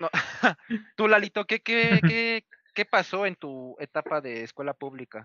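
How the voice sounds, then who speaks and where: A man's high pitch, very wide pitch swings and big swings in loudness, at a fairly slow pace with long, frequent pauses. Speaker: podcast co-host. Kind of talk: casual chat.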